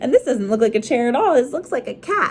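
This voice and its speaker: A female-sounding, put-on character voice, high in pitch for a woman, races along at a very fast pace. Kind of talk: bedtime story. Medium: read story.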